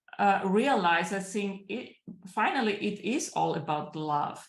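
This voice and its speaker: There is audible room echo as a woman speaks at a medium pitch with ordinary pitch variation. She talks at a very slow pace. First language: German. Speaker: business coach. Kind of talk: interview. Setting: livestream. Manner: halting.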